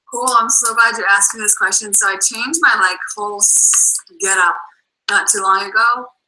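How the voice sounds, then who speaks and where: A woman with an American accent, fairly high pitch and moderate pace. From Boston. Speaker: network marketing coach. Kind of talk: video call interview. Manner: animated.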